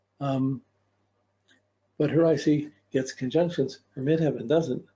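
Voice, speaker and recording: A man speaks at a fairly high pitch with a somewhat breathy quality. His loudness stays very even and his intonation fairly even. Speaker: astrology teacher. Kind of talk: lecture. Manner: fast.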